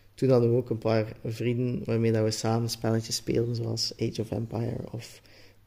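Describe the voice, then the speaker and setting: With a Flemish accent, a man talks in a dark, mellow tone at a moderate pace, with hardly any pauses and a monotone, flat intonation. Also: medium pitch for a man. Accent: Flemish Dutch. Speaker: podcast guest. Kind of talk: casual chat.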